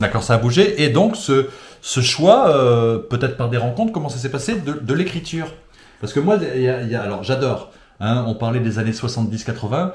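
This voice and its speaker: Over noticeable background noise and audible room echo, a man at medium pitch talks at a fairly quick pace with lively intonation and big swings in loudness. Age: 50s. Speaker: interviewer. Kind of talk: interview. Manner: enthusiastic.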